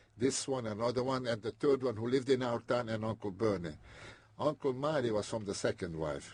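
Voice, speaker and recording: A man at medium pitch with a non-native accent, somewhat breathy, at a very fast pace. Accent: foreign. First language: not English. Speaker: immigrant interviewee. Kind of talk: oral history interview. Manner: halting.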